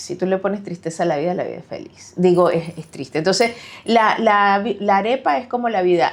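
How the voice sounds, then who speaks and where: A woman speaks with a Venezuelan accent. Her pace is fairly quick, and the background is quiet. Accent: Venezuelan accent, kept. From Venezuela, Caracas. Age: 40s. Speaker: author. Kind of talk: interview.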